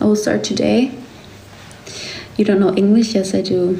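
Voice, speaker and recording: A woman speaks with a German accent. There is audible room echo and noticeable background noise. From Germany. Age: 20s. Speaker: livestreamer. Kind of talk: casual chat.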